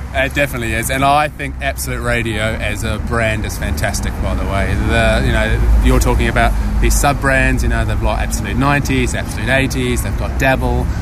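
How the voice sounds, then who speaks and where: Someone with a New Zealand accent talks at a moderate pace with hardly any pauses, over noticeable background noise. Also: man. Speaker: audio agency managing director. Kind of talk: casual chat.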